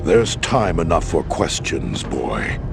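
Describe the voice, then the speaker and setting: The cartoonish character voice goes at a fairly slow pace. Loud background noise runs underneath. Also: man. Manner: measured, authoritative.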